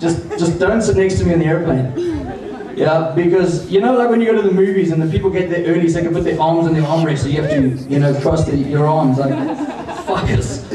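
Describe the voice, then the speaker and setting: A man speaks at a fairly quick pace. Noticeable background noise and audible room echo fill the recording. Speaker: stand-up comedian. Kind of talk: stand-up comedy. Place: stage.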